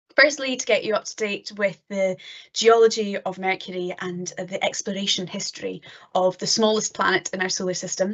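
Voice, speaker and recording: Someone with a Scottish accent talks at a fairly quick pace. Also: woman. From northeast Scotland. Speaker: PhD student, planetary geologist. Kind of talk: lecture. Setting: online live-streamed talk.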